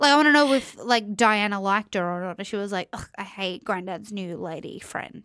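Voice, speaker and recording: On a very clean recording with a silent background, a woman speaks with an Australian accent at a medium pitch and a moderate pace, with hardly any pauses. Her tone is bright and sharp, her pitch varies in an ordinary way, and her loudness swings widely. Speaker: podcaster, reality TV reviewer. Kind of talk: casual chat.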